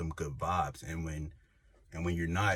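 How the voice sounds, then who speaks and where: The man's voice is very deep and low. It is also somewhat breathy. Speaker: YouTuber. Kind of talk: casual vlog monologue. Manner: animated; casual, filler-heavy.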